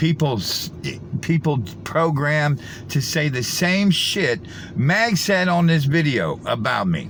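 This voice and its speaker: A man speaks at a very slow pace, his pitch fairly high. Noticeable background noise and audible room echo fill the recording. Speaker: conspiracy video commentator. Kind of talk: reaction commentary.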